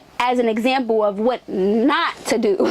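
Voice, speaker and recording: Noticeable background noise sits behind this recording. A woman speaks in an American accent with an animated tone. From Delaware, US. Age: 20s. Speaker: R&B singer. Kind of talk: interview.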